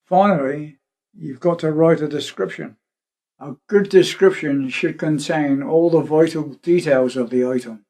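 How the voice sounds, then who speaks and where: A man with a West Country accent and a dark, mellow tone speaks at a fairly slow pace, his fairly high pitch showing ordinary variation and his loudness swinging widely. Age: 70s. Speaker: retired shipwright. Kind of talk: documentary interview narration.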